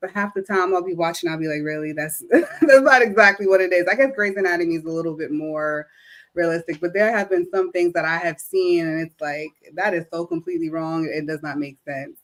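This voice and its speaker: A woman speaks in a normal speaking voice with an American accent. Her pitch is fairly low, her pace fairly quick, and her pitch variation ordinary. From New York. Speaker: operating room nurse. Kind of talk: interview. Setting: livestream.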